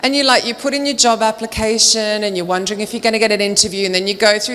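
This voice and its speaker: Noticeable background noise sits behind a woman with an Australian accent. She talks very fast in an animated tone, at medium pitch with ordinary variation. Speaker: recruitment trainer and speaker. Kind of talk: conference talk. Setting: stage with audience.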